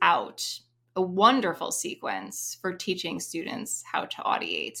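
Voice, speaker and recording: In a bright, sharp tone with vocal fry, a woman of medium pitch uses ordinary pitch variation on a very clean recording with a silent background. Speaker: music teacher. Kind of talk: interview discussion.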